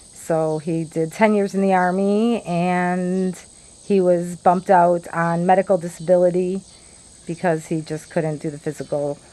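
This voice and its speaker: With a Chicago accent, a woman speaks in a fairly low, dark and mellow voice. Her intonation is monotone and flat. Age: 50s. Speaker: vlogger. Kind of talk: casual monologue.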